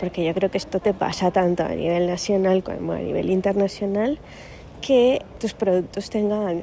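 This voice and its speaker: With a strong Asturian accent, a woman talks at a moderate pace and medium pitch, her intonation fairly even. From Cali, Colombia. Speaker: sales department employee. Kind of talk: recorded question message.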